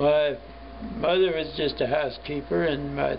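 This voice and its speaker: A man speaks with a Midwestern American accent. Noticeable background noise and audible room echo surround his voice. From US Midwest, Cincinnati, Ohio. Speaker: war veteran. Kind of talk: interview.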